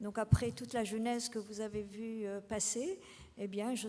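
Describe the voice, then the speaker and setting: Her intonation fairly even, a woman speaks at a fairly high pitch. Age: 60s. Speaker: retired teacher, political candidate. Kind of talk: campaign speech. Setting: public meeting with audience. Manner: halting.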